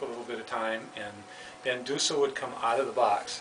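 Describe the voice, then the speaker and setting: A man at medium pitch and a moderate pace, with noticeable background noise. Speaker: puppeteer, former school developmental counselor. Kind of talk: radio interview answer. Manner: casual, hesitant.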